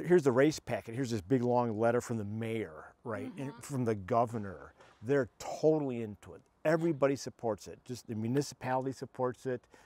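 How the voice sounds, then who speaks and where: A man with an American accent speaks in a dark, mellow tone, with big swings in loudness. The sound is dry with no echo. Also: medium pitch for a man, ordinary pitch variation, fairly quick pace. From United States. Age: 70s. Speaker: trail runner. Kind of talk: interview answer. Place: garden. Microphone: lapel.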